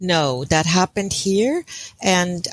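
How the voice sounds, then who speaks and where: In a German accent, a woman speaks very slowly at a fairly low pitch, recorded dry and close with no echo, very clean, with a silent background. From Germany. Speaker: intuitive counselor. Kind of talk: interview.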